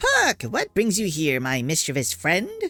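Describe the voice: A man's put-on character voice, high-pitched and cheerful in tone, at a moderate pace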